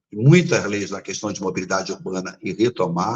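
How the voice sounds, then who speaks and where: The man's voice comes across somewhat breathy. He keeps a moderate pace with lively intonation. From Rio de Janeiro, Brazil. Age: 70s. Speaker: political candidate. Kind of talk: interview. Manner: formal.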